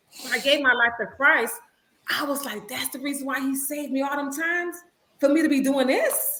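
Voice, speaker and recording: Audible room echo surrounds a woman's raised, projected voice. She speaks at a high pitch and a fairly quick pace with ordinary pitch variation. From Little Haiti, Miami, Florida (Haitian American). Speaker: minister, guest speaker. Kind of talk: testimony. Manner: sometimes mumbles; animated.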